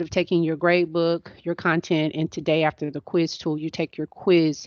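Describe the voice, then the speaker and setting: A woman with a plain, everyday voice and a fairly low pitch speaks at a moderate pace. The sound is dry and close with no echo against a quiet background. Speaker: instructional technology trainer. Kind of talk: training webinar.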